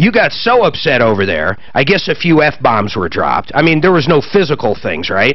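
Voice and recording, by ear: A man talks at a moderate pace and a medium pitch. His pitch swings are big.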